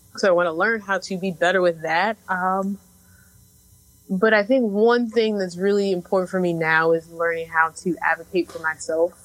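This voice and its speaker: A woman with an American accent uses an ordinary speaking voice at medium pitch. Her intonation is fairly even and her pace moderate. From Chicago. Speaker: podcast co-host. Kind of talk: casual chat.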